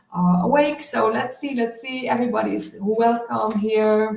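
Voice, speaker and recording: Ordinary pitch variation and a moderate pace from a woman pitched fairly high, with noticeable background noise. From southern Netherlands. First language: Dutch. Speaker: spiritual healer and oracle card reader. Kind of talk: live stream card reading. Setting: live stream. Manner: halting, many fillers.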